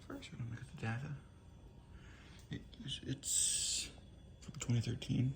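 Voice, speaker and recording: The voice is quiet. It moves at a moderate pace. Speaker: appliance reviewer. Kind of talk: casual product demo. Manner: hushed, quiet.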